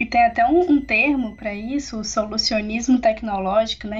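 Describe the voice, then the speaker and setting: Over noticeable background noise, a woman talks at a fairly quick pace. Her pitch is fairly high and her intonation fairly even. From Minas Gerais, Brazil (Barbacena). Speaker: sociologist and graduate researcher. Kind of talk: podcast interview. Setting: remote recording from home.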